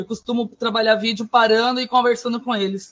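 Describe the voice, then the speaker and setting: Monotone, flat intonation in a somewhat breathy woman's voice. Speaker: schoolteacher, course participant. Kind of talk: online class presentation. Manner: fast.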